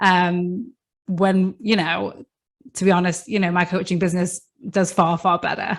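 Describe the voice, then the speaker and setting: Here a woman with a British accent talks at a moderate pace. Her pitch is fairly low and her intonation monotone and flat. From UK. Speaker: coach and podcast host. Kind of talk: podcast interview. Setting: remote call.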